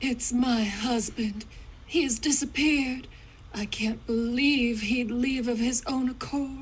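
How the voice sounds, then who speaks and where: A woman's put-on character voice, high in pitch, at a fairly slow pace, with clear background noise. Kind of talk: 1940s radio acting. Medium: game stream.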